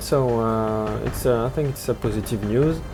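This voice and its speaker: At a moderate pace, a man speaks at a medium pitch with fairly even intonation over noticeable background noise. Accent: French. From France. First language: French. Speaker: gaming news channel host. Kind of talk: weekly news update video. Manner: halting, many filler words.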